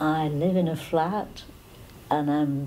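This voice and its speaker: With a very deep, low pitch and a dark, mellow tone, a woman speaks in fairly even intonation amid audible room echo. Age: 80s. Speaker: elderly tea party guest. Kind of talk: interview testimony.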